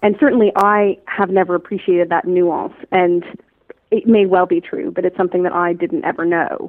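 A woman speaks at a moderate pace in a medium pitch with fairly even intonation, an unremarkable speaking voice. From Canada, Toronto. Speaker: strategy consultant and coach. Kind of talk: interview conversation.

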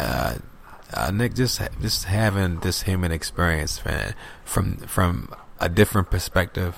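Fairly slow delivery with vocal fry and lively intonation. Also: man, very deep, low pitch for a man. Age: 30s. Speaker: spiritual podcast guest. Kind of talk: casual chat. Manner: animated.

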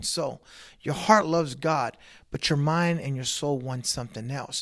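Here a man has an unremarkable speaking voice, fairly high in pitch with ordinary pitch variation. He keeps a moderate pace, and the recording is very clean with a silent background. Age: 40s. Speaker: pastor. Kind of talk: casual interview.

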